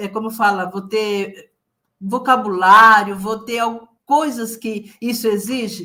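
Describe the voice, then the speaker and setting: Bright and sharp in tone, a woman's fairly high voice moves at a very slow pace with fairly even intonation. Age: 70s. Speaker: retired accountant, author. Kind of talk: interview answer.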